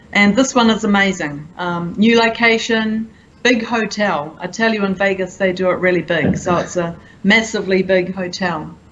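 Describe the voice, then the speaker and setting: This woman has a New Zealand accent and a medium pitch with ordinary variation. Noticeable background noise and audible room echo fill the recording. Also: moderate pace. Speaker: conference attendee. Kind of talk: interview. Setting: conference event.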